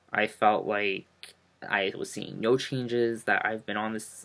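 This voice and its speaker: This is a man speaking at a medium pitch. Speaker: vlogger. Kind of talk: casual vlog. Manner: hesitant, many fillers.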